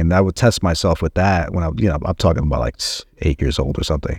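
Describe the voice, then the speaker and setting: Talking at a very fast pace, a man has an American accent. His voice is very deep and low. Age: 40s. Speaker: filmmaker. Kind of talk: interview. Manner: halting, many fillers.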